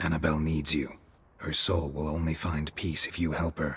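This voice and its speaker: A man's put-on character voice, very deep and low in pitch, at a moderate pace with monotone, flat intonation. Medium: video game. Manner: terse, clipped, flat.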